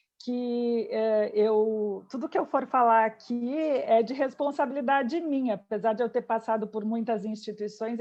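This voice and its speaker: Her fairly high voice, in a southern Brazilian accent, moves at a fairly slow pace with hardly any pauses and ordinary pitch variation. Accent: southern Brazilian (gaúcho). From southern Brazil, Porto Alegre. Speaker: physician, healthcare quality specialist. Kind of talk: interview.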